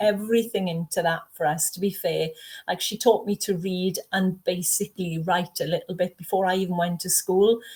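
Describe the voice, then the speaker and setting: A somewhat breathy woman with a South Wales Valleys accent and fairly even intonation. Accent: South Wales Valleys Welsh English. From Wales, South Wales Valleys. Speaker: horror author, retired teacher. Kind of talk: interview conversation.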